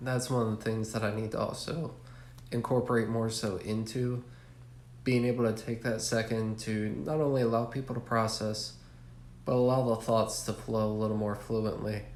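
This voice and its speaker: Audible room echo surrounds a man who talks at a moderate pace in a medium-pitched voice with monotone, flat intonation. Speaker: student in military service. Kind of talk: recorded class journal entry. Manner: frequent filler uhs.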